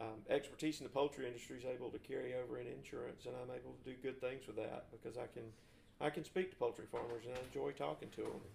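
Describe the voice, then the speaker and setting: A man with a Southern US accent talks at a very fast pace. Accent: Southern US (Georgia). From US South (north Georgia, Forsyth County). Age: 40s. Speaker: co-host, insurance agent. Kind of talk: casual chat. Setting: living room recording.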